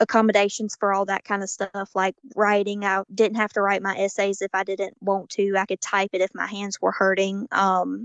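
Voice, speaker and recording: A woman speaks in a monotone, flat way with a Southern US accent, recorded dry and close with no echo over a quiet background. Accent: southern drawl. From US South, Georgia. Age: 19. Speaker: college student, patient. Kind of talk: interview.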